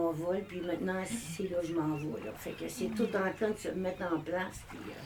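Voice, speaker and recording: With a Quebec accent, a woman speaks at a fairly slow pace over noticeable background noise and audible room echo. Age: 60s. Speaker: public speaker. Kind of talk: group sharing circle.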